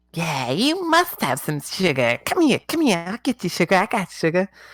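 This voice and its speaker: At a moderate pace, the speaker performs a put-on character voice. Its pitch sits in the middle. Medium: actual play. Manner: fast, repetitive, insistent.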